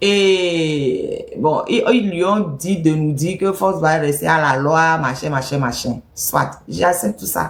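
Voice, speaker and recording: The speech moves at a very slow pace with lively intonation, very even loudness, and hardly any pauses. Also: woman, very deep, low pitch for a woman. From Togo. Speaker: political activist commentator. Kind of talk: political commentary monologue. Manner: animated, emphatic.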